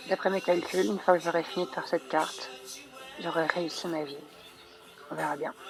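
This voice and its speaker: With music in the background, the speaker moves at a fairly quick pace broken by long, frequent pauses, using ordinary pitch variation. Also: woman, fairly low pitch for a woman. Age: 20s. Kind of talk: personal video diary voice-over. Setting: poor-quality microphone.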